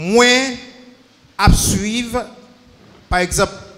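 Very slowly, a man with a Haitian accent speaks with ordinary pitch variation. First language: Haitian Creole (speaking French). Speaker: church member with legal training. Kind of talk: Q&A session. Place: church. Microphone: handheld.

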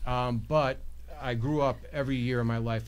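Someone with an American accent talks at a fairly quick pace amid audible room echo. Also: man. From New York. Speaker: judicial candidate. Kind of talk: interview.

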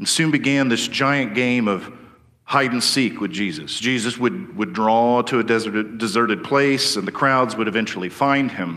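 With a bright, sharp tone and lively intonation, a man speaks at a moderate pace. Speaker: preacher. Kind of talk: sermon.

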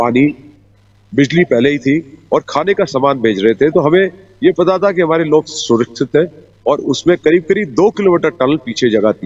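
Faint music plays in the background while a man talks at a fairly slow pace. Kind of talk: interview answer. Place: open country.

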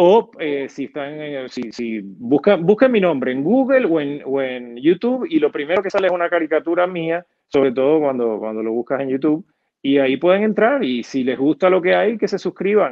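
Moderate-paced speech from a man with fairly high pitch and very wide pitch swings, over a quiet background. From Puerto Rico, Argentine parents. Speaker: comedian and TV/radio producer. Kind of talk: casual interview. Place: home room. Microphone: earbuds.

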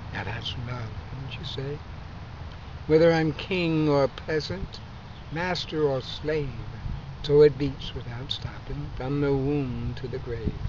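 A man with a fairly high voice and ordinary pitch variation speaks very slowly, leaving long, frequent pauses. His loudness swings widely, over light background noise. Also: dry sound with no echo. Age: 70s. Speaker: poet. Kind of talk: poetry reading. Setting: outdoors. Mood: calm, warm, reflective. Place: garden.

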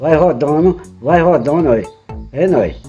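Faint music plays behind a man whose pitch is fairly high. He speaks at a fairly slow pace with ordinary pitch variation. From Pernambuco, Brazil. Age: 60s. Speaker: retiree. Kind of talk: home how-to demonstration. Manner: casual, repetitive. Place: home room. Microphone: phone near.

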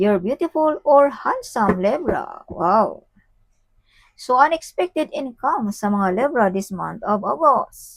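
In a dry, close recording with no echo, a woman speaks at a very slow pace with a high pitch that swings very widely. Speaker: tarot reader. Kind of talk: tarot reading. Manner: animated.

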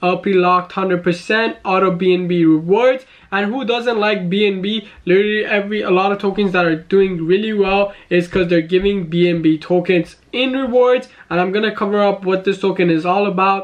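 Against a quiet background, a man speaks at a moderate pace with fairly even intonation and very even loudness. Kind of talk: commentary. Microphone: webcam.

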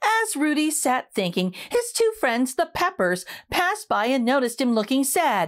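A woman speaks with high pitch and big pitch swings. Her pace is fairly slow.

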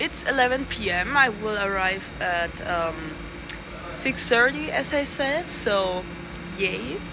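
A woman speaks while loud background noise fills the space around her. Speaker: vlogger travelling to a concert. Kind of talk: casual vlog chat. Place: station. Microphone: phone near.

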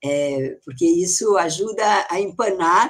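This woman's voice sits at a fairly low pitch. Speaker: history professor. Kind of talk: lecture. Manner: emphatic.

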